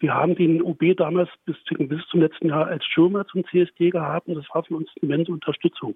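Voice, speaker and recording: This man has a high pitch for a man and speaks in a Berlin accent. His intonation is monotone and flat. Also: fairly quick pace. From Berlin area, Germany. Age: 50s. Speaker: pride association volunteer. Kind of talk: radio interview. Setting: remote line to studio.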